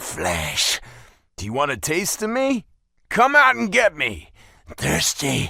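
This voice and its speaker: Using a put-on character voice, a man hisses his words at a high pitch and a fairly slow pace, leaving long, frequent pauses. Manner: hissing, menacing.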